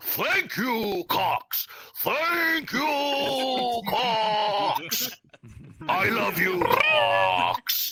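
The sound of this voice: A man talks in a put-on character voice at an extremely high pitch. His pace is very slow.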